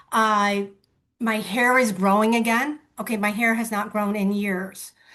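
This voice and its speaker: A woman speaks at a fairly slow pace with a bright, sharp tone. Her pitch is fairly high, and her intonation is monotone and flat. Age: 60s. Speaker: real estate agent. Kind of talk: testimony.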